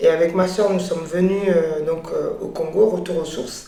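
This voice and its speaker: A woman is heard over noticeable background noise, with audible room echo. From France (Paris). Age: 30s. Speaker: business owner. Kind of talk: interview testimony. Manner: hesitant, many fillers.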